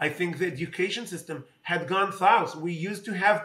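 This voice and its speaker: In an Israeli accent, a man speaks in a raised, projected voice at a moderate pace. His pitch is high, with ordinary variation. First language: Hebrew. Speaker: politician. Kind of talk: interview. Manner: halting, many fillers.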